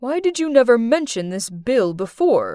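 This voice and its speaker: A woman puts on a character voice, high-pitched with very wide pitch swings, speaking at a moderate pace. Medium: read story.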